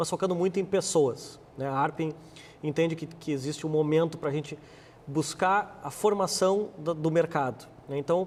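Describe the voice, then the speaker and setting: A man with a Rio Grande do Sul accent talks at a moderate pace, fairly high in pitch, with fairly even intonation. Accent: gaúcho. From Rio Grande do Sul, Brazil (born abroad). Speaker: marketing executive and business administrator. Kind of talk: TV interview. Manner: halting, many repeated words.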